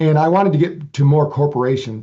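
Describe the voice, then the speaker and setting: His tone dark and mellow, a man with a fairly high pitch speaks in a somewhat breathy voice with fairly even intonation. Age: 60s. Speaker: researcher and author on brain training. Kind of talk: interview. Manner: halting, frequent repetitions.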